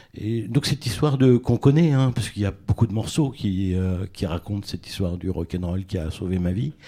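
Fairly low and dark, mellow in tone, a man's voice moves at a fairly quick pace with lively intonation and hardly any pauses. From Tours, France. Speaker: literary critic and journalist. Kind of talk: casual chat. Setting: stage with audience.

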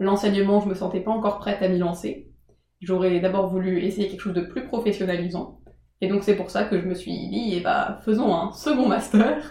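At a moderate pace, a woman with medium pitch talks in a plain, everyday voice, her intonation fairly even. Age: 20s. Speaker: former prep-class student. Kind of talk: casual interview. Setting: in the host's home.

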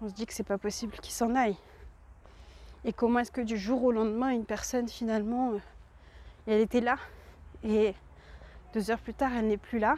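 A woman's fairly high, monotone voice at a fairly quick pace, broken by long, frequent pauses. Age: 20s. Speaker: podcaster and entrepreneur. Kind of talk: personal monologue. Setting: outdoors, walking. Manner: halting.

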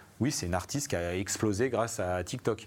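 A man's fairly low voice, an unremarkable speaking voice, at a fairly quick pace with ordinary pitch variation. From Savoie, France. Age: 40s. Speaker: music industry artistic director. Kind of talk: live panel interview. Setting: live event with audience, streamed.

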